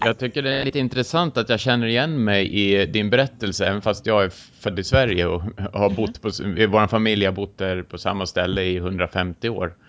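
A man with a Swedish accent speaks at a moderate pace and a fairly low pitch, with ordinary pitch variation. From rural Sweden. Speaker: podcast host. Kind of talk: interview.

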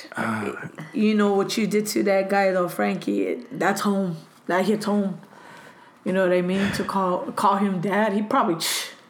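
A woman with an American accent, medium pitch and fairly even intonation, amid noticeable background noise and audible room echo. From Los Angeles, California. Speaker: interview guest. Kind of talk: casual chat. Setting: at home.

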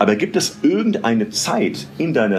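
A man speaks in an animated tone with very wide pitch swings. Noticeable background noise runs behind him. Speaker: podcast host. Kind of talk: interview. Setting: restaurant.

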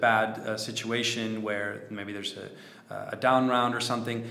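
Noticeable background noise sits behind a man speaking at a medium pitch. He goes at a fairly slow pace in a monotone, flat intonation. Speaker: podcast host, investor. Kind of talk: casual improvised podcast chat.

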